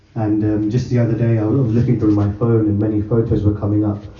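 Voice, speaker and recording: Noticeable background noise sits behind a man's voice. He speaks at a moderate pace in a flat monotone. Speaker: devotee friend giving testimony. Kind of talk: testimony.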